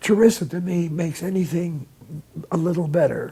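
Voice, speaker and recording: A man speaks in a high pitch with a dark, mellow tone, a passionate tone and ordinary pitch variation. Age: 80s+. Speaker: condiment maker and seller. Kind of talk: interview answer.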